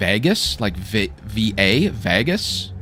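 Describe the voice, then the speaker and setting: This man has a fairly low pitch and a bright, sharp tone. His pitch varies an ordinary amount. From Canada. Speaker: gaming streamer. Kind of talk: live gameplay commentary. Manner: animated; halting.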